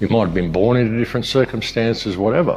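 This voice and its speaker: A man's medium-pitched voice with lively intonation, an ordinary speaking voice. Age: 60s. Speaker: alternative media presenter and filmmaker. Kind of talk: monologue.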